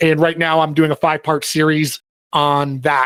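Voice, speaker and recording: In a very clean recording with a silent background, a man with an American accent speaks at a fairly high pitch. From New York. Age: 40s. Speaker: cybersecurity professional. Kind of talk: conference talk. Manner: fast.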